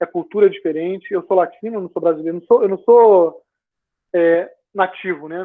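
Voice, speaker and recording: Keeping a moderate pace, a man speaks in a high pitch with fairly even intonation. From Brazil. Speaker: engineer, former student team member. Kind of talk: casual talk, video call Q&A. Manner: relaxed, conversational.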